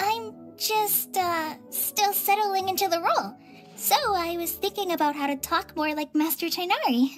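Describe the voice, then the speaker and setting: Faint music plays in the background as a squeaky, put-on character voice with extremely high pitch goes along at a moderate pace. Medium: video game. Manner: upbeat, friendly.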